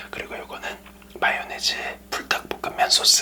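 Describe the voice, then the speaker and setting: Noticeable background noise fills the clip. Beneath it, a man whispers. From Korea. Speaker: ASMR mukbang creator. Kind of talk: ASMR eating show chat. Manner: whispered.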